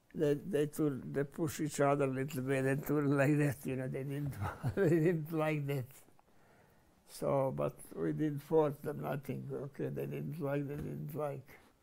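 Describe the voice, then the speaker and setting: Speaking at a fairly slow pace, a man talks with a Croatian accent. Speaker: war veteran. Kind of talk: interview. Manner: halting.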